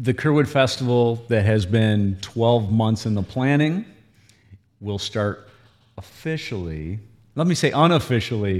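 A man with an American accent speaks at a medium pitch. It is an unremarkable speaking voice at a fairly slow pace. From Michigan, Owosso. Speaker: festival president. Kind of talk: casual interview chat. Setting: studio.

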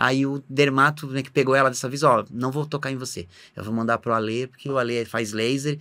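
A man with a normal speaking voice at a medium pitch, a fairly quick pace, fairly even intonation and big swings in loudness, on a very clean recording with a silent background. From Santa Catarina, southern Brazil (Blumenau). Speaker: vascular surgeon. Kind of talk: casual interview.

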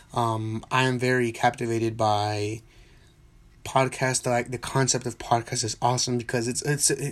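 A man mumbles at a medium pitch. The recording is very clean, with a silent background. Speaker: soccer podcast host. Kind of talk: solo podcast monologue. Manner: mumbling; spontaneous, unscripted.

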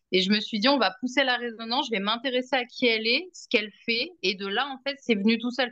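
A woman speaks at a fairly quick pace in a fairly high pitch with ordinary pitch variation. Her tone is bright and sharp. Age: 30s. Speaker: energy healing client and podcast guest. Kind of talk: casual chat.

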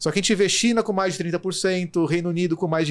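On a very clean recording with a silent background, a man with a high pitch speaks in fairly even intonation. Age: 30s. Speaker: logistics executive. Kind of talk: interview. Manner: fast.

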